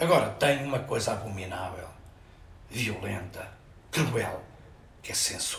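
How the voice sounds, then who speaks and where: With audible room echo, a man talks at a fairly slow pace and leaves long, frequent pauses. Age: 70s. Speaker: photographer and arts festival director. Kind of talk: interview. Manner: halting.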